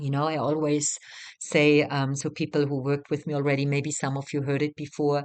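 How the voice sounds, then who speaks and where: The woman's voice sits very deep and low. Nothing much stirs behind her. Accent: non-native. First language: not English. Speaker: retreat facilitator and mentor. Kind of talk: guided teaching talk. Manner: hesitant, many fillers.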